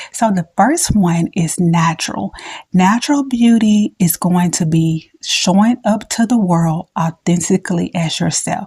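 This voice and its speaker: A woman's dark, mellow, somewhat breathy voice in an American accent, fairly slow, with ordinary pitch variation and a dry, close sound with no echo. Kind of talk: relaxed, conversational.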